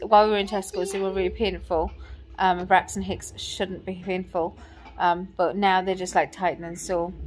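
At a moderate pace, a woman speaks while faint music plays in the background. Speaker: pregnant vlogger. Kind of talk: casual vlog chat. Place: home room. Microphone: phone near.

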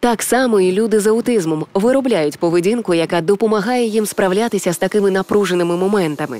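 The voice is a normal speaking voice with ordinary pitch variation, recorded in a dry, close sound with no echo. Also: woman. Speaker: radio host, announcer. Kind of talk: educational cartoon voice-over narration.

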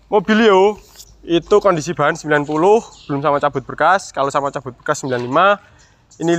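With a bright, sharp tone, a man speaks at a moderate pace, his fairly high pitch showing ordinary variation. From Yogyakarta, Java. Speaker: used car dealer. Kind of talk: sales pitch, car walkaround review. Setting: outdoors at car lot. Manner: animated, repetitive price haggling.

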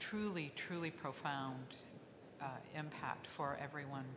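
Over noticeable background noise, the speaker talks at a fairly slow pace with fairly even intonation and long, frequent pauses. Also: woman. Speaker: aid organization executive. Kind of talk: panel talk. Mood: earnest. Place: hall. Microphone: podium.

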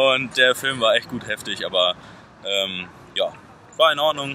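A man speaks with ordinary pitch variation, the sound dry with no echo and light noise in the background. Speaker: vlogger. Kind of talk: casual vlog chat. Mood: cheerful, relaxed. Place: street. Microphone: phone near.

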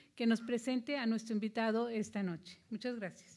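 The background is quiet. A woman speaks with fairly high pitch and fairly even intonation. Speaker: museum event host. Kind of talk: event hosting. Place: stage. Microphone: podium.

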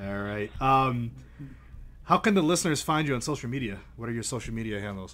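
A man talks at a fairly quick pace in an unremarkable speaking voice. His pitch is medium and his intonation lively. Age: 40s. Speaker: podcast host. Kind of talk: interview, casual chat. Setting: podcast.

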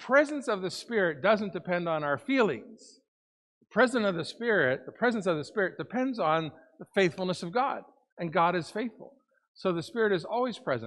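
The man's pace is fairly quick, set against a quiet background. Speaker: lead pastor. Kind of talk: sermon. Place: church.

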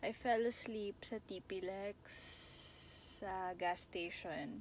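With light background noise and a dry, echo-free sound, a woman talks with ordinary pitch variation. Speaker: vlogger. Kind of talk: casual vlog chat. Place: car. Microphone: phone near.

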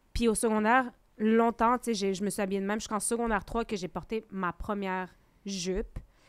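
At a fairly quick pace, a woman talks in a plain, everyday voice with a fairly high pitch. Her intonation is fairly even, and the background is quiet. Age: 30s. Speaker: teacher. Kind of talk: casual chat. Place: studio. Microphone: studio mic.

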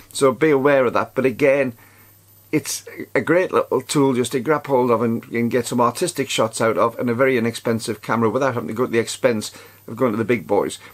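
The man talks at a very fast pace. His voice sits at medium pitch with ordinary pitch variation. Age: 60s. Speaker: camera reviewer YouTuber. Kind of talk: product review vlog. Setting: outdoors. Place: home room.

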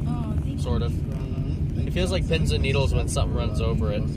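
Loud noise fills the background as a man talks. His voice sounds dry, without any echo. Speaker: car passenger vlogger. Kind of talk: casual vlog chat. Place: car.

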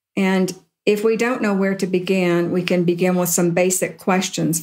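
In an American accent, a woman with an ordinary speaking voice talks at a moderate pace with a fairly low pitch and fairly even intonation. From US South. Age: 60s. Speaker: spiritual teacher and workshop leader. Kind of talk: spiritual talk. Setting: live talk with audience.

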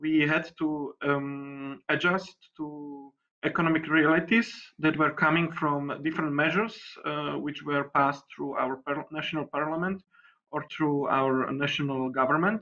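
Speaking fairly slowly in a Slovak accent, a man uses a fairly high pitch, a bright, sharp tone and fairly even intonation. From Slovakia. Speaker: deputy mayor. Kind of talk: panel discussion. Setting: video call. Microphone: video call.

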